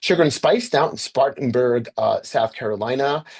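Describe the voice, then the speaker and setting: This speaker has an American accent. He is a man whose pitch shows ordinary variation. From US Northeast, Westchester County, New York. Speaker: author and roadside history presenter. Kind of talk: slide presentation. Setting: video call. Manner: fast; halting with many fillers.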